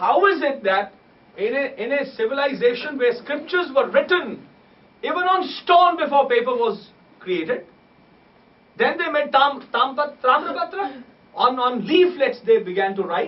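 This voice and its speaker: A man in a Punjabi accent talks at a moderate pace with very wide pitch swings, and there is audible room echo. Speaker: musician and scholar of sacred music. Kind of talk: lecture.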